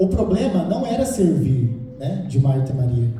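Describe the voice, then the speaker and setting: This man's lively intonation and fairly slow pace come through noticeable background noise and audible room echo. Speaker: lay preacher. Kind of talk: sermon.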